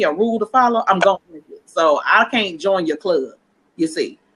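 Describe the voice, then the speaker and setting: Loud and fairly quick, a woman speaks with an American accent and a bright, sharp tone. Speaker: entrepreneur guest. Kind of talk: casual interview chat. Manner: animated.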